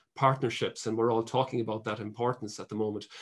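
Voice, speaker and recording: Speaking with an Irish accent, a man keeps his intonation fairly even. The background is quiet. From Ireland. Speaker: water safety charity executive; webinar panelist. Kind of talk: webinar panel talk. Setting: video call. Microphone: video call.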